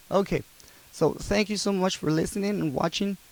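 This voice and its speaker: A man with a non-native accent. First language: not English. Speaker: YouTuber, abuse survivor. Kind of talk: casual vlog monologue. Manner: halting, many fillers.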